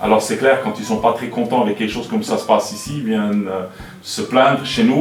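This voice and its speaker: A man talks at a very fast pace with lively intonation, with audible room echo and music in the background. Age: 60s. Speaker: airport director. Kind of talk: interview answering children's questions. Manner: hesitant, with fillers and repetitions.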